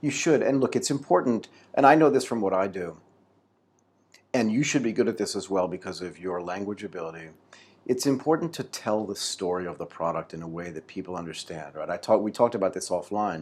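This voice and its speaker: A man with an American accent uses an ordinary speaking voice at a fairly quick pace and fairly low pitch, with lively intonation and big swings in loudness, in a very clean recording with a silent background. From United States. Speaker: podcast host. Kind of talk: interview.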